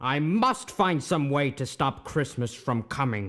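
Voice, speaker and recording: A man uses a put-on, growling character voice at a fairly high pitch and a fairly slow pace. The recording is very clean, with a silent background. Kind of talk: radio play reading. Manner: snarling, sneering.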